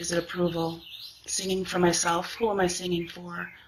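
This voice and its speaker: Over noticeable background noise, a woman talks at a moderate pace in a fairly low voice. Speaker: singer. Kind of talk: personal testimony.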